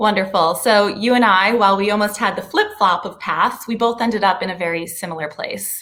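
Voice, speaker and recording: Speaking with an American accent in a normal speaking voice, a woman talks at a medium pitch and a fairly quick pace, with ordinary pitch variation and hardly any pauses. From Chicago, US Midwest. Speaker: podcast host. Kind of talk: interview.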